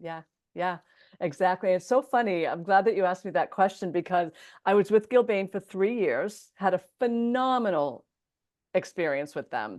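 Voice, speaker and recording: A woman with an unremarkable speaking voice talks at a moderate pace over a quiet background, her medium pitch showing ordinary variation. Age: 60s. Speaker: entrepreneur and podcast host being interviewed. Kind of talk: interview.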